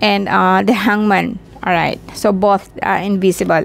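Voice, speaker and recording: At a very slow pace and with fairly even intonation, a woman speaks over noticeable background noise. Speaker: tarot card reader. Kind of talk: tarot reading. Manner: halting, many fillers.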